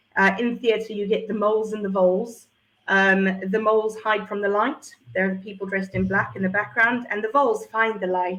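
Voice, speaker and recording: A woman with a South African accent, medium-pitched, at a fairly quick pace, her intonation fairly even. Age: 40s. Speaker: entrepreneur and former drama teacher. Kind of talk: interview.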